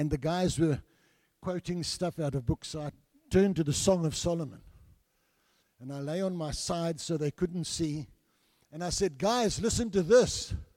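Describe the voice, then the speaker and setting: A man with a South African accent talks at a moderate pace, leaving long, frequent pauses. His voice is high for a man, dark and mellow in tone, with ordinary pitch variation. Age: 70s. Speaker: visiting preacher and church elder. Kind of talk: sermon. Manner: humorous, joking with the congregation.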